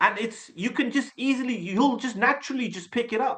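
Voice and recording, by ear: A man talks at a fairly quick pace in an extremely high pitch, with ordinary pitch variation and a fairly bright tone.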